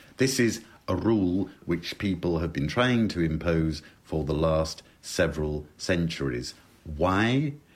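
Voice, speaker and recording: A man with a very deep, low pitch, in a British accent, at a very slow pace. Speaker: lexicographer. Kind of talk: interview on language.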